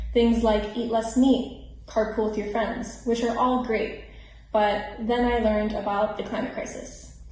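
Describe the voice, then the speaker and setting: Someone with an American accent speaks at a fairly slow pace in a monotone, flat intonation over noticeable background noise. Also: woman, fairly high pitch for a woman. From Miami, Florida. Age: 20s. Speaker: climate activist. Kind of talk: scripted personal testimony.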